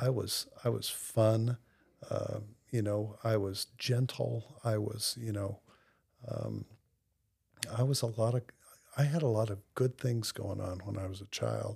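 Delivered at a fairly slow pace with long, frequent pauses, the somewhat breathy voice has a dark, mellow tone, fairly even intonation and an American accent. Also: man, fairly low pitch for a man. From US Midwest (Columbus, Ohio). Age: 60s. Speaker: recovering alcoholic sharing his faith story. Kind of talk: casual interview, personal testimony. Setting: pastor's office.

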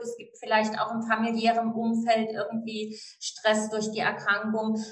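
A woman's fairly high voice at a fairly slow pace, with audible room echo and noticeable background noise. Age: 50s. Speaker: divorce lawyer and breast cancer coach. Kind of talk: casual interview. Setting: outdoors on a sunny terrace.

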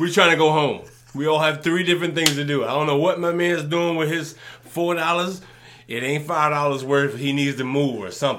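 Over noticeable background noise and audible room echo, a man talks at a fairly quick pace with a fairly high pitch. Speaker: podcast host and comedian. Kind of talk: casual comedic chat. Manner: animated.

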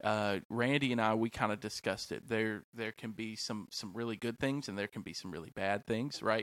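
A man's plain, everyday voice at medium pitch, with fairly even intonation and a moderate pace, very clean recording with a silent background, dry, close sound with no echo. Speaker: podcast host. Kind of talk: casual interview chat.

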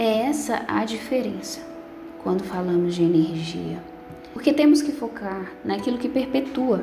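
Over noticeable background noise and audible room echo, a woman talks at a fairly slow pace with a fairly high pitch and very wide pitch swings. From Brazil, Minas Gerais. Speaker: spiritist lecturer and mediumship instructor. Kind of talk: lecture.

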